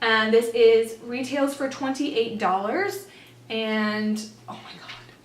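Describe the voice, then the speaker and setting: Audible room echo surrounds a woman's fairly high-pitched voice. Her pitch varies in an ordinary way while her loudness swings widely. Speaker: beauty vlogger. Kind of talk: product unboxing review. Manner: animated; fast.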